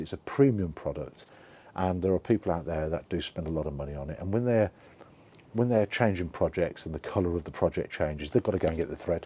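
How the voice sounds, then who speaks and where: The voice has a dark, mellow tone and lively intonation. It moves at a very fast pace. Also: man. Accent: English. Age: 60s. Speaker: online seller vlogger. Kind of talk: casual video log. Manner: halting, repeats words.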